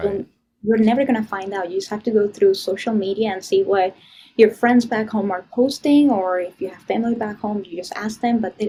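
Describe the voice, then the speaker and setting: Fairly quick and somewhat breathy, a woman speaks with a fairly high pitch, a dark, mellow tone, ordinary pitch variation and big swings in loudness. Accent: Venezuelan. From Venezuela. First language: Spanish. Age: young. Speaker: political activist, public speaker. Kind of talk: podcast interview answer. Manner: casual.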